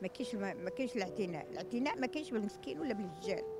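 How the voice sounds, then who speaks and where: A woman talks at a very fast pace, the sound dry with no echo but with noticeable background noise. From Morocco. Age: 70s. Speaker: elderly street beggar; interviewee. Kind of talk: street interview testimony. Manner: emotional, halting. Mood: sorrowful, pleading. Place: street. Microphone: handheld.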